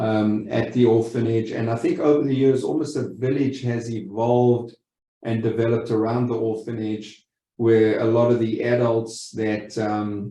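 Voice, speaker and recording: Audible room echo surrounds a man with a South African accent whose medium-pitched, dark, mellow voice stays monotone and flat. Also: moderate pace. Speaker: lending company executive. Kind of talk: webinar presentation. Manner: halting, many repeated words.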